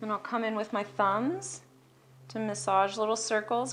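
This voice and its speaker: Over music in the background, the speaker talks at a fairly slow pace with lively intonation. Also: woman. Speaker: massage therapist. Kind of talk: instructional massage demonstration, calm talk to camera. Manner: soft-spoken, relaxed.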